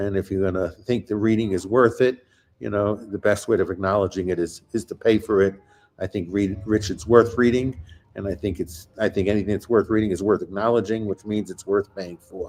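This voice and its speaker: Talking at a fairly quick pace, a man uses a fairly low pitch and fairly even intonation. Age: 60s. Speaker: podcast host. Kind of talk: interview conversation. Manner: halting, many repeated words.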